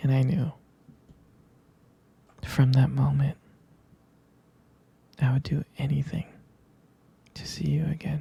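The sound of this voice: A man's put-on character voice, dark and mellow with a husky, rough edge and vocal fry, little pitch movement, a slow pace, and long, frequent pauses. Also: medium pitch for a man.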